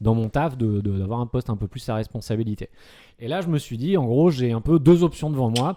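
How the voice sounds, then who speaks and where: Over a silent background on a very clean recording, a man uses a normal speaking voice at medium pitch with lively intonation and a fairly quick pace. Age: 30s. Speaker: comedian and psychiatric nurse. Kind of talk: casual podcast chat.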